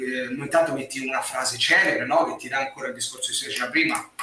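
A man is heard with noticeable background noise. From Massa, Tuscany, Italy. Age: 30s. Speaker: hotel receptionist and social media writer. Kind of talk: live stream interview. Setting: at home, remote video call.

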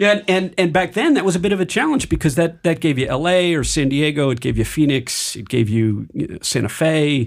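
A man with an American accent, fairly high-pitched, with lively intonation, a fairly quick pace and hardly any pauses. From Michigan, US Midwest. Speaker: startup founder and venture capital executive. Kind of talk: interview. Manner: halting, frequent repetitions.

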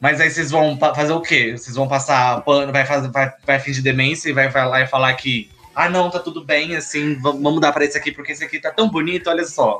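Noticeable background noise accompanies a man with a fairly high pitch. He speaks at a fairly quick pace with hardly any pauses and fairly even intonation. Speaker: podcast co-host. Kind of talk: casual chat.

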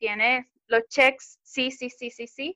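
A woman's raised, projected voice has a high pitch and a bright, sharp tone. The sound is dry and close, with no echo. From Venezuela. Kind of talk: interview.

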